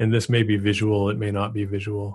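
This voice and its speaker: Against a quiet background, a man talks at a moderate pace in a fairly low, somewhat breathy voice. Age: 50s. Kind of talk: casual chat.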